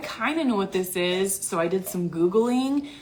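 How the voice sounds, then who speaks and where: Noticeable background noise runs under this recording. A woman with an American accent speaks at a moderate pace and medium pitch. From US Midwest (Iowa). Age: 30s. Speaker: online business coach, former teacher. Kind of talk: livestream talk. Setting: hotel room. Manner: animated.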